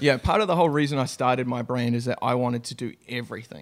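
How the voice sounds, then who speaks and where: On a very clean recording with a silent background, a man with a New Zealand accent speaks fairly quickly at a medium pitch. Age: 30s. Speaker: winemaker. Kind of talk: casual chat.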